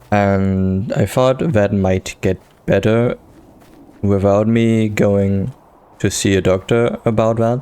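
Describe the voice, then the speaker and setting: At a very slow pace, a man with a fairly low pitch speaks with fairly even intonation and very even loudness. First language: not English. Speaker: gaming youtuber. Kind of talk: casual gameplay commentary. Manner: halting.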